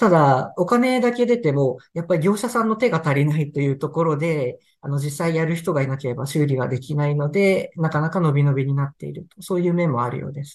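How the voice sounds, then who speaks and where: Somewhat breathy, the speaker talks at a fairly quick pace with lively intonation and hardly any pauses. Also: man, fairly high pitch for a man. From Tohoku, Sendai, Japan. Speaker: newspaper reporter. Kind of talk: interview about news reporting.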